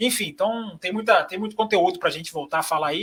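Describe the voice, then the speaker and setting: A man's high voice races at a very fast pace, full of lively intonation. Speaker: motorsport journalist. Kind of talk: podcast panel chat.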